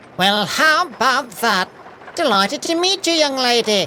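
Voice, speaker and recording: A high-pitched, put-on character voice at a moderate pace, with clear background noise. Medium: read story. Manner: warm, folksy.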